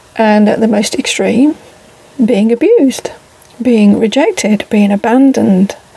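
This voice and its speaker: Over noticeable background noise, the speech moves at a fairly slow pace with very even loudness. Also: woman, ordinary pitch variation. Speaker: vlogger living in a camper van. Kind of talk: casual monologue vlog. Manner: reflective, hesitant with fillers.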